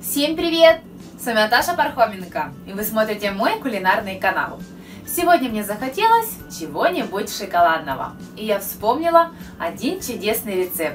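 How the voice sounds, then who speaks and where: The speaker keeps a moderate pace while clear music plays in the background. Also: woman. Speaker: cooking channel host. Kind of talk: casual vlog chat. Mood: cheerful, friendly. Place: kitchen.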